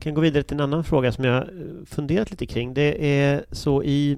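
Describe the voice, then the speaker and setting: Speaking at a moderate pace, a man has a plain, everyday voice and a fairly high pitch. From Gothenburg, Sweden. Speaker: podcast host, opinion journalist. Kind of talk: interview.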